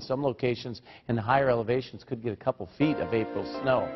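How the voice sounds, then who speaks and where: A man speaks fairly fast, with quiet surroundings behind him. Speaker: TV meteorologist. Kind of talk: morning TV weather forecast. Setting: TV studio. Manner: brisk, conversational delivery rattling off temperatures and towns; friendly, folksy tone with casual asides. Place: studio. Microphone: lapel.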